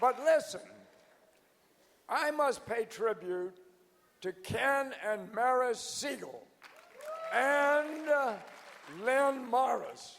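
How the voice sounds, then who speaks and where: Over crowd noise, a man with an American accent speaks very slowly at an extremely high pitch, with ordinary pitch variation and long, frequent pauses. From US South. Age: 90s. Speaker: organization founder. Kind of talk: anniversary address. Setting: stage with audience.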